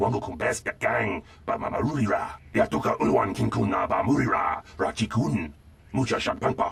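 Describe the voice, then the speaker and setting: A man puts on a character voice. He talks at a fairly quick pace over light background noise. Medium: video game. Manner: rapid, foreign-sounding.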